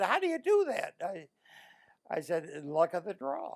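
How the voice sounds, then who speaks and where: Moderate-paced male speaker with a Midwestern US accent. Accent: US Midwest. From Illinois, Joliet. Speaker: war veteran. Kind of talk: oral history interview. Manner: halting.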